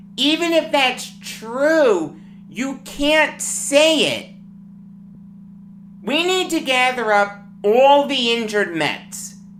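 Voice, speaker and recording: A woman with an American accent and a high voice speaks at a very slow pace, with very wide pitch swings, long, frequent pauses and audible room echo. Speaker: sports talk host. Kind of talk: sports commentary monologue. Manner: animated.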